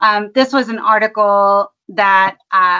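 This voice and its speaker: The woman's pitch varies in an ordinary way, and her tone is bright and sharp. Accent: Kentucky. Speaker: panel moderator, lawyer and children's book author. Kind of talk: panel discussion moderation. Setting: video call.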